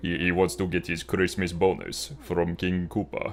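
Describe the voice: A man uses a put-on character voice with a Russian accent, very deep and low in pitch with fairly even intonation. He speaks at a moderate pace against clear background noise.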